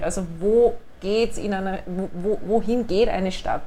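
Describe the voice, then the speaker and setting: Audible room echo around a woman's medium-pitched voice. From Upper Austria. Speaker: city administration director. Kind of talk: interview. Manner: hesitant fillers.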